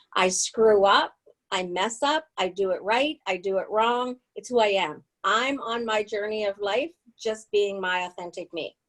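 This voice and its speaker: A woman talks at a fairly slow pace with a fairly high pitch and ordinary pitch variation. It is an unremarkable speaking voice. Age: 60s. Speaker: spiritual author, guest. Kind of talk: personal testimony in interview.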